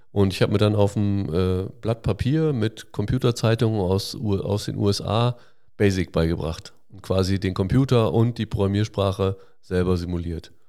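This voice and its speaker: This recording is very clean, with a silent background. A man talks with a fairly low pitch and a dark, mellow tone. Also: ordinary pitch variation, moderate pace. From Westphalia, northwest Germany (Hagen am Teutoburger Wald). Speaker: software company founder. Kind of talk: interview. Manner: frequent filler hesitations.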